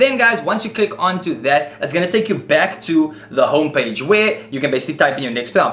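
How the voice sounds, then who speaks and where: A raised, projected voice moves at a fairly quick pace with an animated tone and very wide pitch swings. Noticeable background noise sits underneath. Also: man. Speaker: tech YouTuber. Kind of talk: tutorial. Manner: fast.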